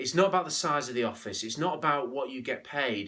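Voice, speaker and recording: A man's fairly high, bright, sharp voice with lively intonation and a slight Scouse accent. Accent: slight Scouse twang. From northern England, St Helens on Merseyside. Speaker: business leadership speaker. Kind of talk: motivational business talk.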